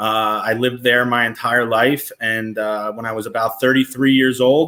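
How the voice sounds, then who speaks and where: A man with a New Jersey accent speaks at a fairly slow pace. His intonation is monotone and flat. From New Jersey (Brick / Toms River). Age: 30s. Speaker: person in addiction recovery. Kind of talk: personal testimony. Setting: live stream.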